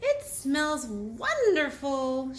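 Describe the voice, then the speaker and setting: A woman puts on a character voice pitched high. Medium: read story. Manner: relaxed, dreamy.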